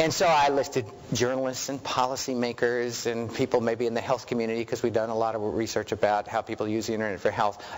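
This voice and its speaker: Over noticeable background noise, a man with an American accent talks at a very fast pace with hardly any pauses, using fairly even intonation at medium pitch. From New York. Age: 50s. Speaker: research director. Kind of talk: lecture.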